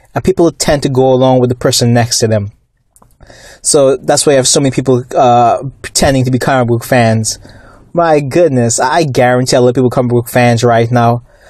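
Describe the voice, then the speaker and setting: At a fairly quick pace, an ordinary speaking voice keeps very even loudness and fairly even intonation. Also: man, medium pitch for a man. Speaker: YouTube commentator on comics and movies. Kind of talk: angry rant about fake comic fans and studio politics. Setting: YouTube video monologue. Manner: indignant, scornful, worked up, with fillers and repeated words.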